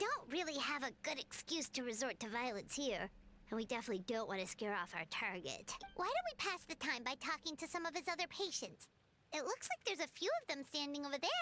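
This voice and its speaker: A put-on character voice, high-pitched and very fast, with faint music in the background. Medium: virtual streamer.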